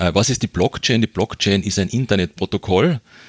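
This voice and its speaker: A man with a slight Carinthian accent at a fairly quick pace, the sound dry and close with no echo. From Austria, Carinthia. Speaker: development aid worker and fundraiser. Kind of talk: interview.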